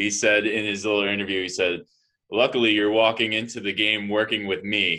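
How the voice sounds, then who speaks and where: Fairly low-pitched man speaking fairly quickly in a flat monotone. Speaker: podcast co-host. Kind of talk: casual chat. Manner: opinionated, rambling.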